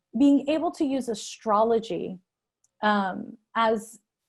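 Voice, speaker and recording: A woman talks in a fairly high, somewhat breathy voice. Her intonation is lively. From Canada, Montreal. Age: 40s. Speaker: astrologer. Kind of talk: interview. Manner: hesitant, many fillers.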